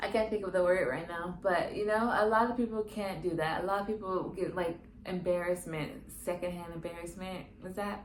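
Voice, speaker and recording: A soft-spoken woman of medium pitch talks at a fairly quick pace, with audible room echo and noticeable background noise. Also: fairly even intonation. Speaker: podcast host. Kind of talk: personal confessional monologue. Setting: solo to camera, natural sunlight. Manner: calm, collected.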